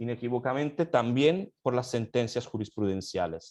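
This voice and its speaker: With an Italian accent, a man speaks at medium pitch and ordinary pitch variation. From Italy. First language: Italian (speaking Spanish). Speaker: law academic. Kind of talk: panel discussion. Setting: online session. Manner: halting, many fillers.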